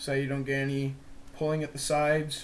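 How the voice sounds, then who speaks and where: Audible room echo surrounds this man. His intonation is monotone and flat. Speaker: lacrosse stick stringing tutorial maker. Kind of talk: tutorial. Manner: casual, informal.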